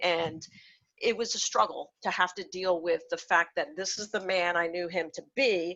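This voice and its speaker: A woman with an unremarkable speaking voice and a medium pitch speaks at a fairly slow pace with ordinary pitch variation. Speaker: workshop presenter for clinicians. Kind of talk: lecture.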